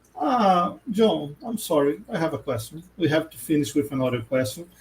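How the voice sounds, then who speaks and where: A man with a Portuguese accent, fairly high pitch, very wide pitch swings, big swings in loudness and a moderate pace, over noticeable background noise. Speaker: podcast host. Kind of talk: casual interview.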